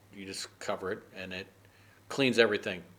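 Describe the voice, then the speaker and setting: The voice has a bright, sharp, relaxed tone and a flat, monotone intonation. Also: man. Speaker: English idioms teacher. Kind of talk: casual lesson talk to camera. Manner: conversational, relaxed, hesitant.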